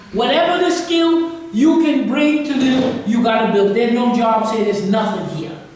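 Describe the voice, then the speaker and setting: This man keeps a moderate pace, with audible room echo and noticeable background noise in the recording. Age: 80s+. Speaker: guest lecturer on African history. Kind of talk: Q&A after a lecture.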